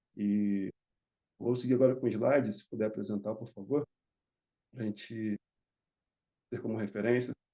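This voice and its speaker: Using a fairly low pitch and fairly even intonation, a man speaks at a moderate pace with long, frequent pauses. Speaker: barber. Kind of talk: conference panel talk.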